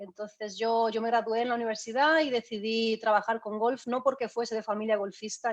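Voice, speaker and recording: A woman talks at a moderate pace. Her pitch is fairly high. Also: quiet background. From Spain. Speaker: golf fitness trainer. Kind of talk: online talk. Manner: hesitant, many fillers.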